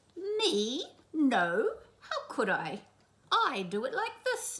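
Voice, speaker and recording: In a put-on character voice, a female-sounding speaker goes at a very slow pace with an extremely high pitch. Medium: read story.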